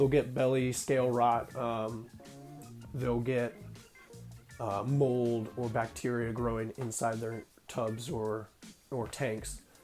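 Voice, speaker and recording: Over music in the background, the speech moves at a very slow pace with long, frequent pauses. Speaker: ball python keeper. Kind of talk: casual tutorial talk to camera.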